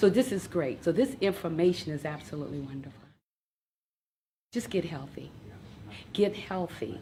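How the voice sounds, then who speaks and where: Somewhat breathy and dark, mellow in tone, a woman's fairly low voice moves at a moderate pace with lively intonation. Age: 60s. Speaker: nurse. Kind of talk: testimony. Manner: enthusiastic.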